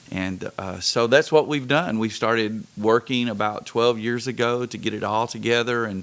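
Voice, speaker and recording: A man talks at a moderate pace with hardly any pauses. His pitch is medium, with ordinary variation. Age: 60s. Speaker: pastor. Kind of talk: casual interview chat.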